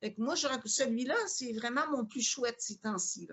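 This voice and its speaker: A woman with a high voice speaks in a Quebec accent, her intonation lively. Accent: Quebec French, moderate, more international. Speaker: yoga teacher and spiritual seeker. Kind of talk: interview.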